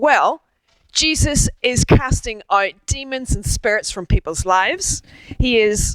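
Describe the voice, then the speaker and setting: Speaking at a fairly slow pace with an Irish accent, a woman moves through very wide pitch swings in a dry, close sound with no echo. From Ireland. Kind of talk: public talk.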